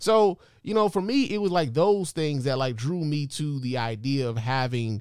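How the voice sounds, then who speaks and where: A man at a moderate pace with an animated tone, very wide pitch swings and a very clean recording with a silent background. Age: 40s. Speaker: podcast host. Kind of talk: casual monologue.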